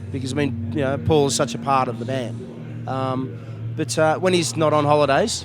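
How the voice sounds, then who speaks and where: Music plays in the background and the room echo is audible. A man of medium pitch speaks at a moderate pace with lively intonation. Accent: Australian. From Australia. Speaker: rock musician. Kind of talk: interview. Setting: music festival.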